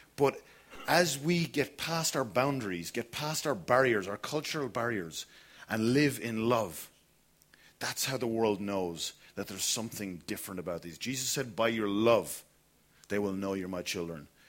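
On a very clean recording with a silent background, a man with a southern Irish accent speaks at a moderate pace in a medium pitch with lively intonation. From Ireland, Kilkenny. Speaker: pastor. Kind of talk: sermon. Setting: church.

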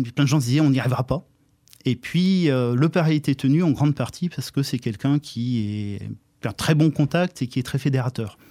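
Fairly quick delivery with ordinary pitch variation and a dry, close sound with no echo. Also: man. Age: 50s. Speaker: local election candidate. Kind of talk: radio interview. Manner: hesitant, many filler sounds.

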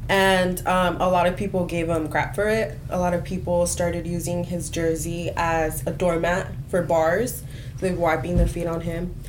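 Over noticeable background noise, a woman with a fairly low voice speaks at a moderate pace in a flat monotone, hardly pausing at all. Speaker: college student, PR major. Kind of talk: casual group discussion.

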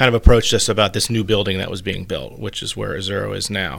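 A man with a fairly low pitch talks at a very fast pace, keeping his intonation fairly even. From Virginia. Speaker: restaurant owner and chef. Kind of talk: interview.

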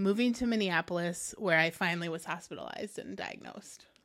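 Recorded very cleanly against a silent background, a woman with a Midwestern American accent talks at a fairly quick pace in a medium pitch. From US Midwest, Quad Cities (Davenport, Iowa). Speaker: author and publisher. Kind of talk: casual interview.

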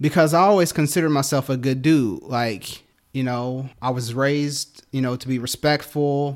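In a very clean recording with a silent background, a man with an unremarkable speaking voice and fairly high pitch talks at a moderate pace with ordinary pitch variation. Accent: American. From Detroit, Michigan. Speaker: church teacher, actor. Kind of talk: testimony.

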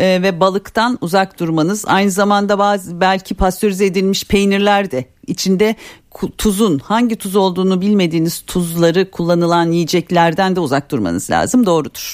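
At a moderate pace, a woman with a plain, everyday voice speaks at a medium pitch with ordinary pitch variation and very even loudness. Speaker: dietitian. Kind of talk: call-in health advice. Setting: radio studio.

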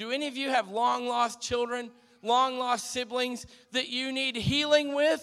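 A man's raised, projected voice at an extremely high pitch, with a bright, sharp tone and fairly even intonation. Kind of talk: exhortation and prayer.

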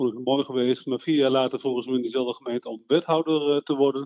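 Fairly high-pitched and at a fairly quick pace, a man talks in a plain, everyday voice. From Netherlands, Veluwe (Eerbeek). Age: 60s. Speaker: local politician. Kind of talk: interview. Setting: phone call.

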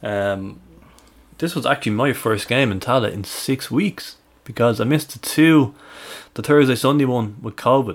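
On a very clean recording with a silent background, a man with a Dublin accent speaks at medium pitch and a moderate pace. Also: ordinary pitch variation. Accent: Irish (Dublin). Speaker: football fan podcast co-host. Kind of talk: casual chat.

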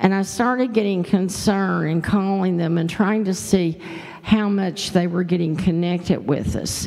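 A woman speaks at a medium pitch and a moderate pace. Her pitch variation is ordinary, with noticeable background noise behind her. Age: 70s. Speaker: grief support group leader. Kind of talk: testimony. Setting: church.

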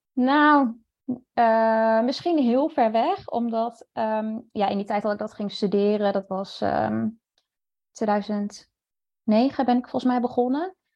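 Very slow speech from a fairly high-pitched woman, its pitch varying in an ordinary way. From Netherlands, near Zwolle. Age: 30s. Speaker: freelance journalist. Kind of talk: interview.

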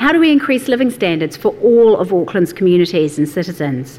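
Noticeable background noise runs under the recording. A woman at medium pitch speaks with very wide pitch swings. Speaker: event host and moderator. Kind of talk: event hosting, introductions and moderating. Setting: live event with audience.

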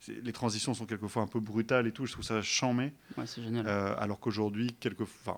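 On a very clean recording with a silent background, a man speaks at a medium pitch in a monotone, flat voice. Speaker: DJ and author. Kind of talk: casual interview. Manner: halting, many repetitions.

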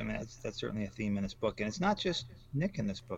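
The speaker has an American accent. It is an unremarkable speaking voice. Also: man. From Michigan, US Midwest. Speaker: crime novelist. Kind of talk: interview.

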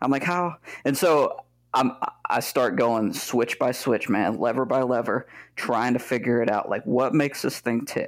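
Heard in a very clean recording with a silent background, a man with a medium pitch uses an ordinary speaking voice at a moderate pace, with fairly even intonation and very even loudness. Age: 30s. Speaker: flight sim VR modder. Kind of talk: casual chat.

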